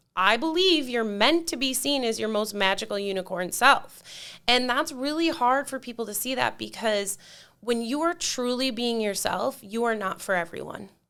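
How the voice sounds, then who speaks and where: A loud, animated voice with a bright, sharp tone and lively intonation moves at a moderate pace in a very clean recording with a silent background. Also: woman, fairly high pitch for a woman. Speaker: mentor for divorced women. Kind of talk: casual chat.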